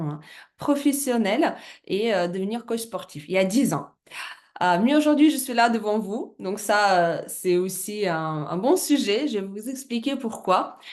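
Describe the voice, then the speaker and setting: Her pace is fairly slow and her pitch medium. The woman's intonation is lively. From Russia. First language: Russian (speaking French). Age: 30s. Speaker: business presenter, former fitness coach. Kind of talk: business presentation. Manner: halting, many hesitations.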